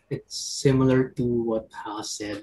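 A man speaks at a fairly slow pace in a medium pitch. His voice is somewhat breathy. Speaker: arts organization editor. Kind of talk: online panel discussion. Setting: video call.

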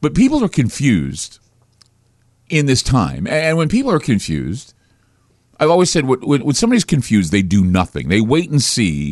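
A man speaks at a moderate pace. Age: 50s. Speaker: talk radio host. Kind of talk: radio monologue. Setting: studio. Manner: halting, frequent repetitions.

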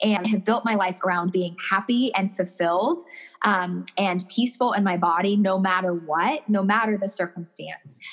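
An energetic, bubbly woman with a medium pitch talks at a moderate pace with ordinary pitch variation. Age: 30s. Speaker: personal stylist. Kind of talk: casual interview chat.

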